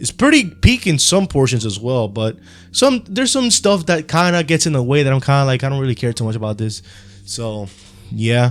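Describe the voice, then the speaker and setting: A man with a Spanish accent, medium pitch and lively intonation, at a fairly quick pace with music in the background. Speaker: anime YouTuber. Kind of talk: unscripted video commentary. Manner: casual, rambling with fillers.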